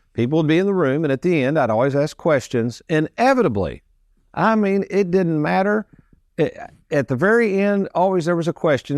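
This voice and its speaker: A man talks at a very fast pace. The sound is dry and close with no echo, over a quiet background. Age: 60s. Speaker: financial advisor and radio show host. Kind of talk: casual radio chat.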